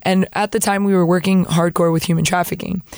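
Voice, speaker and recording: Recorded very cleanly over a silent background, a woman of medium pitch speaks with a Spanish accent. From US Florida. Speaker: missionary sharing testimony. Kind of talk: testimony. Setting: studio. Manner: animated, humorous.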